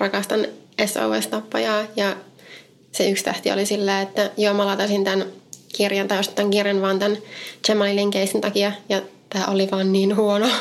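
In a monotone, flat intonation, a woman of medium pitch talks with very even loudness. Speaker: podcast co-host. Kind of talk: true crime storytelling chat.

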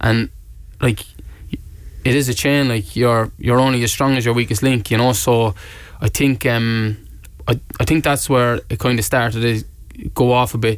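Fairly even intonation at a moderate pace. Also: man, medium pitch for a man. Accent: Cork. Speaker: professional footballer. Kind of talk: casual interview. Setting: studio. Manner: casual, hesitant with fillers.

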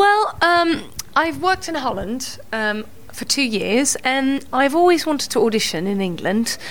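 A woman speaks in a high pitch at a fairly slow pace with very wide pitch swings, amid audible room echo and noticeable background noise. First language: Dutch. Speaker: musical theatre actress. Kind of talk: casual chat.

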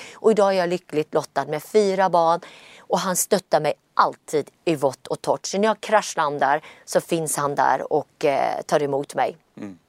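An ordinary speaking voice from a woman, fairly low in pitch with ordinary pitch variation and a fairly slow pace, dry and close with no echo, on a very clean recording with a silent background. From Gothenburg, Sweden. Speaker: entrepreneur. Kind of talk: interview.

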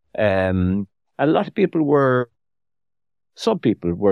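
A man with an Irish accent speaks at a fairly slow pace. His pitch is fairly low. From Ireland. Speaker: author. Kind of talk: interview. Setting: studio.

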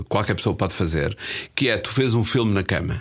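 A man with a normal speaking voice talks at a fairly quick pace and a medium pitch, with ordinary pitch variation. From northern Portugal, Espinho. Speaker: film journalist. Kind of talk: casual chat.

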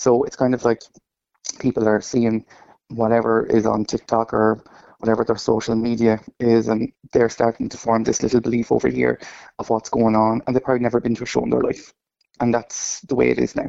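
Fairly quick speech from a man with an Irish accent, medium pitch, and monotone, flat intonation. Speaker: drag performer. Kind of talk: radio interview. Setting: phone call.

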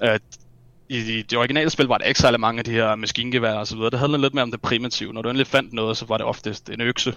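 The man's delivery is monotone and flat. He rushes along at a very fast pace. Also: medium pitch for a man. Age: 20s. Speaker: video game enthusiast. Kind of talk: casual chat.

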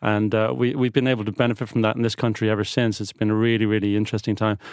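Against a quiet background, a man with a medium pitch speaks in a monotone, flat intonation. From Ireland, raised partly abroad (Netherlands, France, UK, Colombia). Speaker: business executive. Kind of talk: interview.

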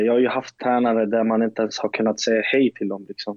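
A man keeps a flat, monotone intonation at a medium pitch while speaking at moderate speed. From Sweden, Skåne (Lund). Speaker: professional footballer. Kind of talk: interview.

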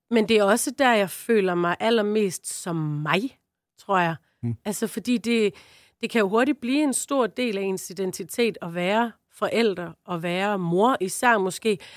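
A woman's normal speaking voice at medium pitch, fairly slow, with ordinary pitch variation and a dry, close sound with no echo. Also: very clean recording, silent background. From Southern Jutland, Denmark. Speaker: comedian. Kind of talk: casual chat.

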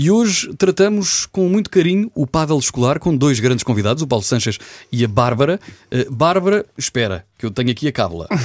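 A man with fairly high pitch and very wide pitch swings, at a fairly quick pace and very even loudness, in a dry, close sound with no echo. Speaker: radio host. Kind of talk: radio show presenting.

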